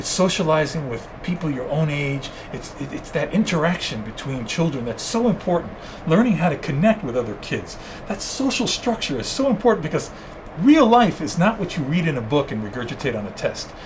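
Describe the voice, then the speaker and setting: Over noticeable background noise, a man speaks at a fairly high pitch. He goes at a fairly quick pace with very wide pitch swings. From New York, Cuban family. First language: Spanish. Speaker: zoo wildlife expert. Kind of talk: interview. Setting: podcast. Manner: animated.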